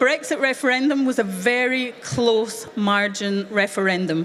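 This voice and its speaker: Noticeable background noise sits behind a woman with a Scottish accent. Her pitch is fairly high, with ordinary variation. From Scotland. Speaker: youth event speaker. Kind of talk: speech to young audience.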